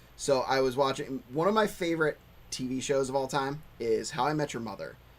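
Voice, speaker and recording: A normal speaking voice from a man with an American accent, fairly high in pitch, ordinary pitch variation, at a fairly quick pace. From Pennsylvania, US. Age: 30s. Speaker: whiskey channel host. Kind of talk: casual chat.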